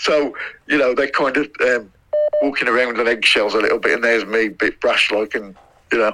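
A man with a Midlands accent speaks at a fairly quick pace and medium pitch. His intonation is fairly even and his loudness very even. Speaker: former footballer. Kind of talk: interview. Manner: halting, many fillers.

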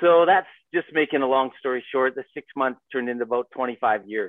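A man with an unremarkable speaking voice and a Canadian accent, at a moderate pace with fairly even intonation. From Vancouver, Canada. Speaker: adventure guide and business owner. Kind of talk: casual interview. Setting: video call.

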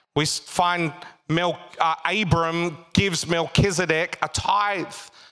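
A man talks in an Australian accent. His fairly high voice has an animated tone. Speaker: pastor. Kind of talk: sermon, preached live to a congregation with call-and-response and jokes. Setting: church with live congregation. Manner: animated, humorous, pausing to quip and prompt the crowd.

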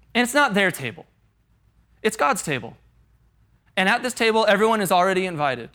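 Speaking very fast in a raised, projected voice with a General American accent, the speaker has a bright, sharp tone and ordinary pitch variation, captured in a very clean recording with a silent background. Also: man. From Colorado, US. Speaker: pastor. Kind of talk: sermon. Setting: stage with audience. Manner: animated.

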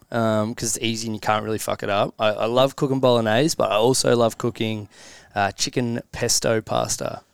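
The recording is very clean, and the background is silent. A man's voice comes across with a dry, close sound and no echo. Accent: Australian. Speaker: company leader. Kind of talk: casual chat.

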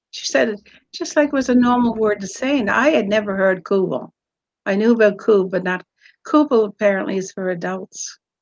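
A woman speaks in a Newfoundland accent. Her fairly high voice carries lively intonation. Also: fairly quick pace. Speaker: author. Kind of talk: casual interview.

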